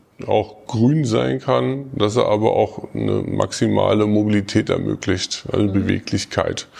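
This man has a fairly low pitch and an unremarkable speaking voice. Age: 40s. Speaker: social worker at a youth welfare office, staff council candidate. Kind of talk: interview.

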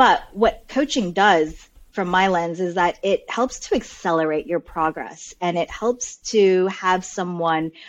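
In a normal speaking voice, a woman with a General American accent talks at a fairly slow pace, her fairly low pitch showing ordinary pitch variation. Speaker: coach guest. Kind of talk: casual interview chat.

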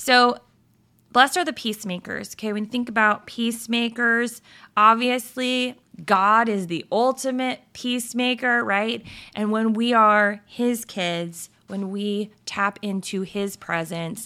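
Her tone bright, sharp and animated, a woman speaks fairly slowly at a fairly high pitch with ordinary pitch variation. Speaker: faith podcast host. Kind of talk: devotional talk.

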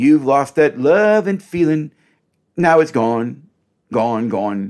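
An ordinary speaking voice from a man at a fairly slow pace, with lively intonation, on a very clean recording with a silent background. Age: 60s. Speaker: podcast host and relationship counselor. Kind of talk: solo teaching monologue. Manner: conversational, direct address to listeners.

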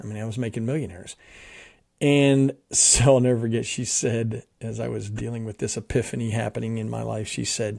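In a very clean recording with a silent background, a man speaks with a dark, mellow tone. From US Northeast, South Jersey. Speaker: mission organization executive. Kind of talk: podcast interview, personal testimony.

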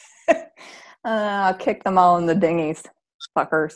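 Her pitch fairly low and her pitch variation ordinary, a woman speaks at a fairly slow pace in a very clean recording with a silent background. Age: 30s. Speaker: sobriety podcast host and coach. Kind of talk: casual chat.

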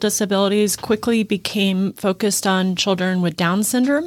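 In a normal speaking voice, a woman talks at a moderate pace and medium pitch with an American accent, on a very clean recording with a silent background. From US Midwest. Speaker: school co-founder, educator, nonprofit executive. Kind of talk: interview.

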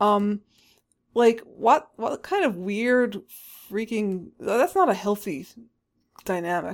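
Speaking very slowly, a woman uses lively intonation at a medium pitch. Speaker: author and podcast co-host. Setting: remote recording.

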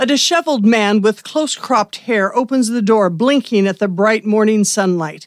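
A woman with an unremarkable speaking voice, fairly high pitch and ordinary pitch variation at a moderate pace, on a very clean, dry, close recording with a silent background and no echo. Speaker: radio theatre narrator and podcast host. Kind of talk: dramatic narration. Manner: theatrical, campy, vividly descriptive.

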